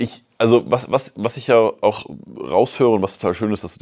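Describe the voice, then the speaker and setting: There is a man speaking over a quiet background. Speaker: podcast host. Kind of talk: casual interview; podcast intro monologue.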